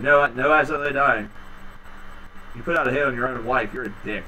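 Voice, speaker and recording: A man talks at a fairly quick pace. Noticeable background noise runs under him. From Pennsylvania. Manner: ranting, casual.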